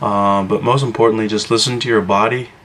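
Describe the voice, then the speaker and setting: Quiet speech at a moderate pace, with fairly even intonation, sits over noticeable background noise. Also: man. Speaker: fitness vlogger. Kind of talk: casual vlog talk to camera. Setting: at home, brother sleeping nearby. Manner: quiet, hushed; hesitant, many fillers.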